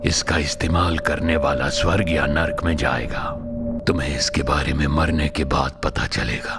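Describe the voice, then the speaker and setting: A man puts on a character voice, pitched very deep and low, at a fairly slow pace. Loud music plays in the background. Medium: fan dub. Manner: lazy, amused.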